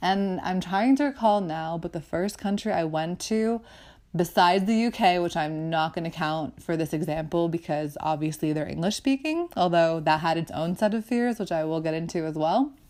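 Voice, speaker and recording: A woman with an ordinary speaking voice talks at a moderate pace and fairly low pitch, with ordinary pitch variation. The recording is very clean, with a silent background. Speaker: podcast host. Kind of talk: podcast monologue.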